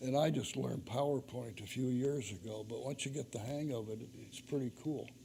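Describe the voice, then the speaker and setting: A man at a moderate pace, somewhat breathy, with ordinary pitch variation. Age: 80s+. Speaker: author giving a church adult-education talk. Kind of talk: lecture.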